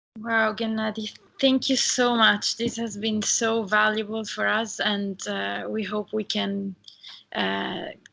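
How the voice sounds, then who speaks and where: A woman with an Italian accent speaks at a very slow pace. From Italy. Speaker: interviewer. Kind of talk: interview.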